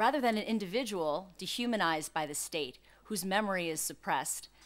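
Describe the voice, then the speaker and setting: Speaking at a fairly quick pace, a woman talks with a New York accent. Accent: New York American. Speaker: law professor. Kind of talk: conference talk. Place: hall.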